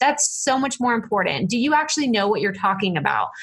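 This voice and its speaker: A woman's high, bright, sharp voice with very wide pitch swings. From East Texas. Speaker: podcasting coach. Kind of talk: interview chat. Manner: animated.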